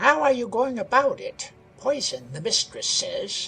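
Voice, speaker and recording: A raspy, put-on character voice at a moderate pace. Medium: read story.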